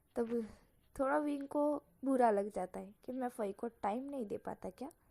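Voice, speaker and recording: The woman has a high pitch with ordinary pitch variation and a dark, mellow tone. She speaks at a fairly slow pace in a dry, close sound with no echo. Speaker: fan fiction storyteller. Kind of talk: reading aloud a story. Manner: casual, informal narration.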